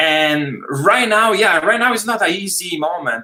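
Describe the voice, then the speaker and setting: A man at a moderate pace, with lively intonation. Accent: Italian. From Italy. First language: Italian. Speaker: film director. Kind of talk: casual chat.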